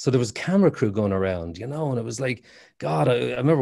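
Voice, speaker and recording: A man with an Irish accent talks at a very fast pace. His medium-pitched voice has a dark, mellow tone. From Ireland, Waterford. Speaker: actor. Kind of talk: casual chat. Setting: video call.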